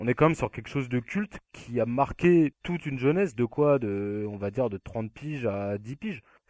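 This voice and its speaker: Using a normal speaking voice, a man at a medium pitch talks at a moderate pace with hardly any pauses and lively intonation, in a dry, close sound with no echo over a quiet background. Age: 20s. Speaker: podcast co-host. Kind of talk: casual chat.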